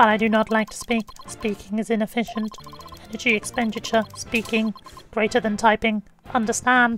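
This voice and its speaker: A woman does a put-on, robotic character voice at a fairly high pitch and a moderate pace. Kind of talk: dry, efficiency-minded. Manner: flat, clipped, terse.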